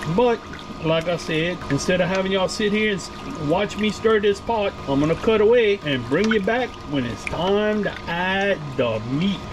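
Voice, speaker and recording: A man with a strong Louisiana accent speaks at a moderate pace in a high pitch with lively intonation. Noticeable background noise runs underneath. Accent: thick Cajun. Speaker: cooking vlogger. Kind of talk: cooking tutorial. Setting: RV kitchen. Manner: casual, folksy.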